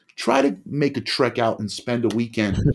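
A man speaks in a medium pitch. He has an East Coast American accent. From US Northeast, New Jersey (Bergen County). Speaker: former police officer living with bipolar disorder. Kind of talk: casual chat. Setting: remote call, home studio mic.

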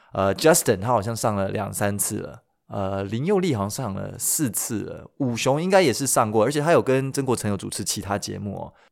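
On a very clean recording with a silent background, a man speaks fairly quickly at a medium pitch with lively intonation. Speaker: YouTuber and podcaster, former radio DJ. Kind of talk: casual solo podcast storytelling. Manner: animated, frequent laughs and filler particles.

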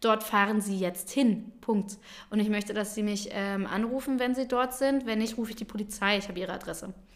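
A woman talks at a fairly quick pace in a fairly high voice with fairly even intonation. It is an unremarkable speaking voice. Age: 20s. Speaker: daycare centre manager. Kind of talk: casual chat.

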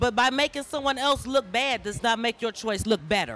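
A woman's fairly high, animated voice with very wide pitch swings, vocal fry, and a moderate pace. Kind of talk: passionate, sassy audience comment. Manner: animated, emphatic.

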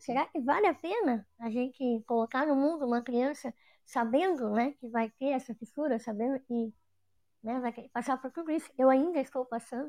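Dark, mellow tone with ordinary pitch variation. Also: woman, high pitch for a woman, moderate pace. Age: 30s. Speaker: audience participant with cleft lip. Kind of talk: Q&A with experts.

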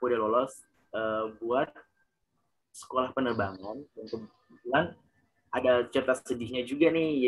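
A man is talking. His voice is medium in pitch. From Ambon, Maluku, Indonesia. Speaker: award-winning university student. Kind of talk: casual interview.

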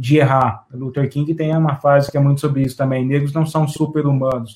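The voice is dark, mellow and somewhat breathy. It moves at a moderate pace with fairly even intonation. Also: man. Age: 30s. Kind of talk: casual discussion.

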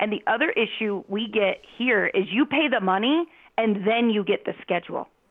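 A woman's normal speaking voice, fairly high in pitch, at a moderate pace with ordinary pitch variation. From US Southwest, Phoenix. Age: 40s. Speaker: parent and youth soccer coach. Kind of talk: casual chat. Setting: call.

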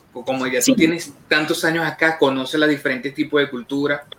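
The talking moves at a fairly quick pace over noticeable background noise. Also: man. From Venezuela, Carabobo. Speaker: online show co-host. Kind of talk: casual interview.

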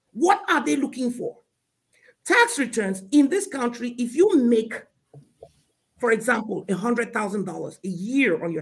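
A man speaks at a fairly slow pace. His pitch is extremely high. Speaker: CPA and business consultant. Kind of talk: interview explaining finance.

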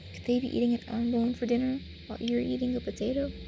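Noticeable background noise runs beneath speech delivered at a fairly quick tempo. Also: woman. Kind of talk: casual podcast outro. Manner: chatty, playful, animated.

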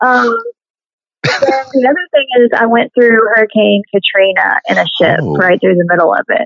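Recorded with a dry, close sound and no echo, a woman talks in a Southern US accent. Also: moderate pace. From Tennessee, Nashville area. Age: 50s. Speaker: musician and actress. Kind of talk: casual interview.

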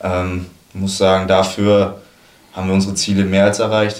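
A man's very deep, low pitch in monotone, flat intonation at a moderate pace, with audible room echo and noticeable background noise. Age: 20s. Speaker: football goalkeeper. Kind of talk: casual chat.

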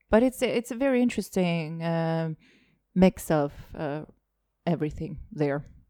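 A woman speaks fairly slowly in a fairly low voice with a dark, mellow tone. Her intonation is lively, broken by long, frequent pauses. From Estonia. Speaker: comedian. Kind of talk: casual chat.

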